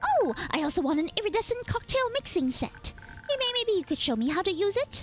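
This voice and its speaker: Putting on a character voice, a woman speaks at an extremely high pitch with very wide pitch swings and a fairly quick pace while music plays clearly in the background. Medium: virtual streamer. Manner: playful, teasing.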